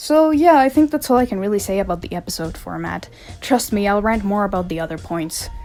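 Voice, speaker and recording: Very wide pitch swings mark this voice, spoken with a non-native accent. Its tone is dark and mellow. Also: woman. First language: not English. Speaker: video essayist. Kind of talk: unscripted rant. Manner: casual, rambling.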